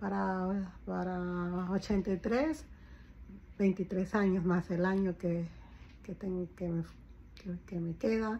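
The voice is somewhat breathy, with a dark, mellow tone. The pace is very slow. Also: woman. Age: 50s. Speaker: caregiver and vlogger; vlogger. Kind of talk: casual personal vlog. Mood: reflective, somewhat worried. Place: home room. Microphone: phone near.

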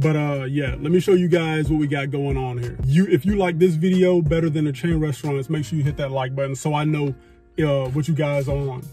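A man speaks at a fairly quick pace with fairly even intonation, in a dry sound with no echo and faint music in the background. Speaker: food vlogger. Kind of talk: casual vlog chat. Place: car. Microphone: phone near.

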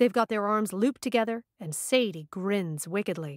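On a very clean recording with a silent background and a dry, close sound with no echo, a woman uses an ordinary speaking voice at medium pitch with lively intonation. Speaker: audiobook narrator. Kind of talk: audiobook narration.

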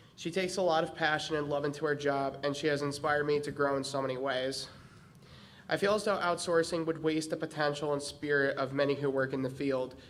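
A man with an American accent has an ordinary speaking voice, fairly high pitch and fairly even intonation. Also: fairly quick pace. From Connecticut, US. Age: young. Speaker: public commenter at school board meeting. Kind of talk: public comment, read prepared statement. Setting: public meeting in school. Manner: reading prepared speech.

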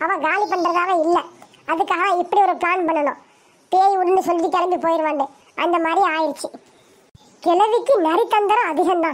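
A woman's extremely high-pitched voice at a fairly slow pace, with ordinary pitch variation. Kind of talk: comic village bickering. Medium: fan dub. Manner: boastful, scolding, sly.

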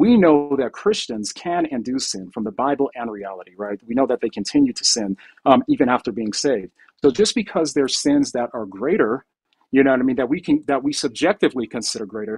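A man speaks with lively intonation at a fairly quick pace, and the background is quiet. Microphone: video call.

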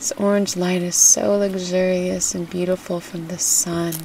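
The voice has a soothing tone and moves at a fairly slow pace, with noticeable background noise behind it. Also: woman. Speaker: meditation guide. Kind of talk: guided meditation, hypnobirthing. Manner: soft, slow, soothing.

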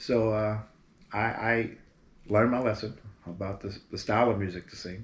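An American-accented man with a fairly low pitch speaks at a moderate pace with fairly even intonation and long, frequent pauses, with audible room echo. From Berkeley, California; California. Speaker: singer. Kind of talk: interview. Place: home room.

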